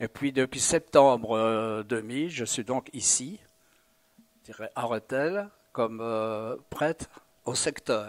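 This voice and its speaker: Speech comes at a very slow pace, broken by long, frequent pauses, with ordinary pitch variation. The recording is very clean with a silent background, and the sound is dry and close with no echo. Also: man, medium pitch for a man. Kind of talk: interview testimony. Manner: halting, many hesitations.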